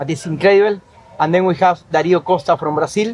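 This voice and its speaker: A man talks at a fairly quick pace in a high voice, with fairly even intonation. Noticeable background noise runs underneath. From Argentina. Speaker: chef. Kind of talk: interview.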